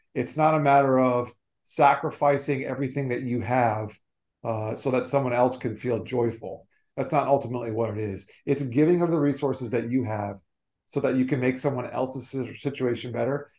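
A man with an unremarkable speaking voice, medium pitch, fairly even intonation and a fairly quick pace. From South Florida. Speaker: motivational speaker on generosity. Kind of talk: interview.

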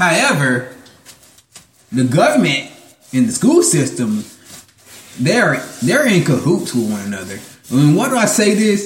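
A man speaks at a fairly high pitch with very wide pitch swings, a fairly slow pace and long, frequent pauses, with audible room echo around him. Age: 30s. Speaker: podcast host. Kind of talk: casual monologue. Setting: at work while painting.

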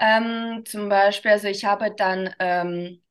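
A woman with a Russian accent and ordinary pitch variation, set against a quiet background. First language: Russian (speaking German). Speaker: dance teacher for children. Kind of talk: interview. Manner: halting, many fillers.

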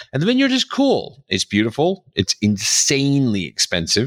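This man has an American accent. The sound is dry and close, with no echo. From New York City. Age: 50s. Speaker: podcast host, author and speaker. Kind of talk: monologue on personal news; interview.

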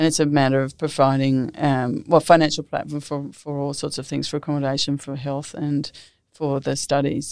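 A woman with an Australian accent, very deep and low in pitch, monotone and flat in intonation, at a moderate pace, in a very clean recording with a silent background. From Australia, New South Wales Southern Highlands. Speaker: former ambassador. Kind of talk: interview.

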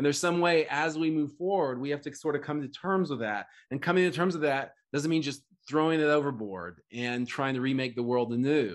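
Over a quiet background, a man with an American accent speaks at a moderate pace and a fairly high pitch, his pitch varying in an ordinary way. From US, Oklahoma. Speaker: author and think-tank co-founder. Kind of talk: interview conversation. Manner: halting, with frequent restarts.

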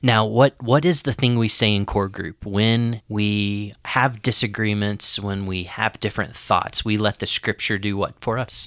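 A man with an ordinary speaking voice talks at a fairly slow pace, fairly low in pitch and with fairly even intonation. The very clean recording has a silent background and a dry, close sound with no echo. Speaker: podcast host and father. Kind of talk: casual conversational podcast.

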